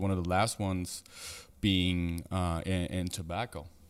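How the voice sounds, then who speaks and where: In a very clean recording with a silent background, a man with a German accent speaks at a very deep, low pitch. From Germany, Frankfurt. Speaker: entrepreneur. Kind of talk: casual podcast chat.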